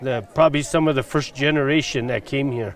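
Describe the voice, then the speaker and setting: Man with an American accent, noticeable background noise behind him. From southern Colorado (Sopris). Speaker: former coal town resident. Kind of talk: interview recollection.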